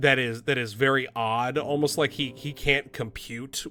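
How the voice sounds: This is a natural reading voice. It reads the text as written.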